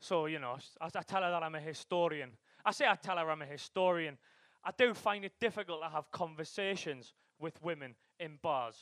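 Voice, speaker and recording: Speaking at a fairly quick clip, this man has an unremarkable speaking voice, fairly high in pitch with ordinary variation, and the sound is dry and close with no echo. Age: 20s. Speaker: PhD student and comedian. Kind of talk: stand-up. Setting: stage with audience.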